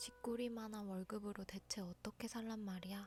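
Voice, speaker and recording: A soft-spoken woman at medium pitch, fairly slow and fairly even in intonation, with music in the background. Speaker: audiobook narrator. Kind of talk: bedtime audiobook reading.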